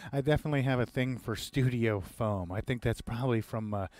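Delivered at a fairly quick pace, the voice shows ordinary pitch variation in a dry recording with no echo. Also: man. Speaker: home recording instructor. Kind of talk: tutorial. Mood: relaxed, light humor. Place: studio. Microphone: headset.

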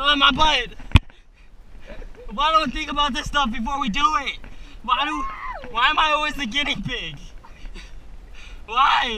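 A man with a raised, projected voice leaves long, frequent pauses, with ordinary pitch variation. The sound is dry with no echo, and there is noticeable background noise. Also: moderate pace. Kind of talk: casual exclamations. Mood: nervous, complaining. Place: tunnel cave. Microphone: phone near.

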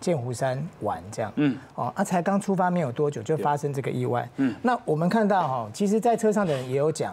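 Fairly quick and with hardly any pauses, a man speaks with very wide pitch swings. His voice is somewhat breathy. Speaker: TV guest. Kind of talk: commentary. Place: studio. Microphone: lapel.

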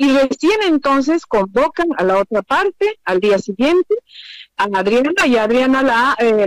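A woman speaks at a moderate pace with a high pitch and very wide swings in pitch. The sound is dry and close, with no echo. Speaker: former government minister. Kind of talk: interview.

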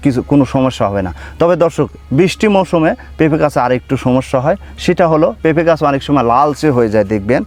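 With a plain, everyday voice, a man speaks at a fairly high pitch, his intonation lively and his loudness very even. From Bangladesh, Pabna district. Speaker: papaya farmer and seedling nursery owner. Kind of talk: farm tour video presentation. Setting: outdoors in papaya orchard.

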